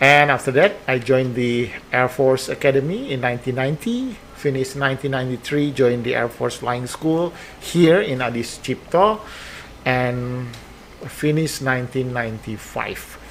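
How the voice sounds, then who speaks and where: A man's medium-pitched voice in an Indonesian accent, at a moderate pace with ordinary pitch variation, over noticeable background noise. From Indonesia, West Java (Bandung). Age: 50s. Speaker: air force base commander. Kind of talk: podcast interview. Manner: halting.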